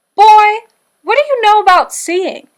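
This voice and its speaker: A woman's squeaky, put-on character voice at an extremely high pitch, with lively intonation and a moderate pace. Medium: read story. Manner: warm, folksy.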